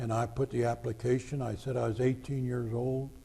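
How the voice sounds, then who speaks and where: A man with an American accent talks at a fairly quick pace. His intonation stays monotone and flat. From Greater Cincinnati (northern Kentucky/southwest Ohio). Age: 80s+. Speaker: war veteran. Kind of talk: oral history interview.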